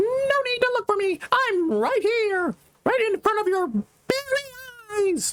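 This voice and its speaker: Someone uses a put-on character voice at an extremely high pitch and a fairly slow pace. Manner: put-on voice, playful.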